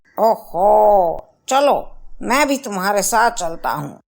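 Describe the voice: A cartoonish character voice, female-sounding and fairly high-pitched, at a fairly slow pace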